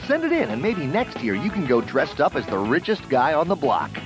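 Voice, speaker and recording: Over clear background music, a man speaks at a fairly quick pace with a dry sound and no echo. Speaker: TV show announcer. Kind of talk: promotional announcement. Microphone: old recording.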